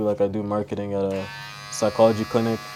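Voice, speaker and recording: Here a man talks at a fairly quick pace and a fairly low pitch. He has an unremarkable speaking voice. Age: 20s. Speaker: young entrepreneur. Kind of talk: casual interview. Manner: casual, filler-heavy.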